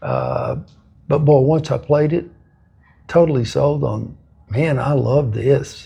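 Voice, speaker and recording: A man with a West Texas accent, very slow, with long, frequent pauses. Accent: West Texas drawl. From West Texas (Lamesa, South Plains). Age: 70s. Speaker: football coach and ministry leader. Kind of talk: interview.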